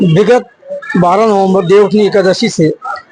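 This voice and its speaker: Noticeable background noise sits behind a man's voice. He speaks with ordinary pitch variation. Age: 60s. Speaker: local community member. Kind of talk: interview.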